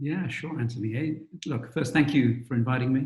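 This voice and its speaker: A man's somewhat breathy, medium-pitched voice. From England, London East End. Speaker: investment firm CEO and author. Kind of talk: interview.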